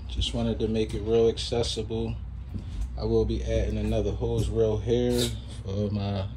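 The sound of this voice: The man's pitch is fairly low. It shows little movement.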